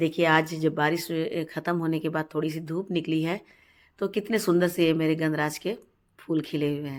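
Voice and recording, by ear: A low-pitched woman at a moderate pace. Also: fairly even intonation.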